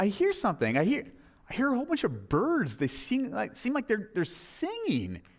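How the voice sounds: Putting on a character voice, a man speaks high at a moderate pace with very wide pitch swings.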